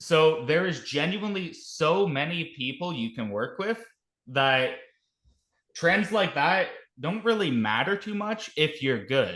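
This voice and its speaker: A man with a Canadian accent, fairly high pitch, bright and sharp tone, animated delivery, very wide pitch swings, and a fairly slow pace. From Canada. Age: 20s. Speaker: healthcare worker and startup founder. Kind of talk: casual interview.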